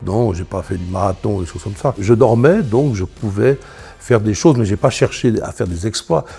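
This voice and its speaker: Music plays in the background while a man speaks. His voice is fairly low, with ordinary pitch variation, at a moderate pace. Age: 60s. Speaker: sleep apnea patient. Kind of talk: testimony. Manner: halting.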